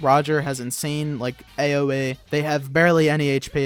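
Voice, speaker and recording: There is music in the background as a man speaks. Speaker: gaming youtuber. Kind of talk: gameplay commentary. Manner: animated; halting.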